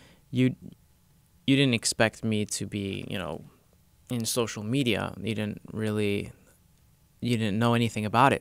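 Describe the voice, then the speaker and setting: A man's fairly low voice at a moderate pace, fairly even in intonation, with long, frequent pauses. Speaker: youtuber and podcast host. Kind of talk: casual podcast chat. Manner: loud.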